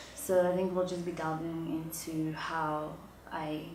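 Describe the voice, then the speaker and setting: A woman's fairly low voice at a very slow pace, monotone and flat, with audible room echo and noticeable background noise. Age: 20s. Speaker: auditor and entrepreneur. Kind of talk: interview.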